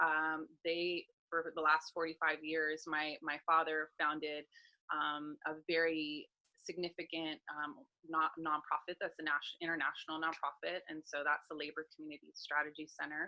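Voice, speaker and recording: Very deep and low, a woman's voice carries an American accent. She keeps a moderate pace with monotone, flat intonation. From US West Coast, Los Angeles. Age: 40s. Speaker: life coach and public speaker. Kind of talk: interview, personal story.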